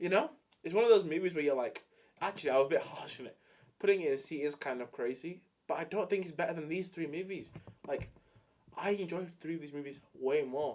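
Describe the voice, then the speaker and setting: With an English accent and an animated tone, the speaker talks at a very fast pace broken by long, frequent pauses. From England. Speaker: streamer. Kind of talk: casual chat.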